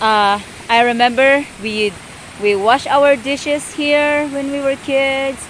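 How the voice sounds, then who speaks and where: Over noticeable background noise, a woman speaks at a very slow pace in a high pitch with ordinary variation. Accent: Filipino. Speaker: farmer. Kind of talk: casual talk to camera.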